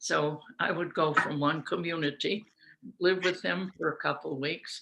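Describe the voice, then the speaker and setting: A woman with a very deep, low pitch speaks in a bright, sharp tone with vocal fry and fairly even intonation. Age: 80s+. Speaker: researcher of children's learning. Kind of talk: storytelling about her life to family. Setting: video call.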